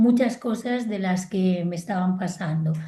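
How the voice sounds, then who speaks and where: Her dark, mellow voice somewhat breathy, a woman speaks at a fairly slow pace with lively intonation. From Spain, Galicia. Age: 60s. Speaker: psychologist and family constellations therapist. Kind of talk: interview. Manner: animated.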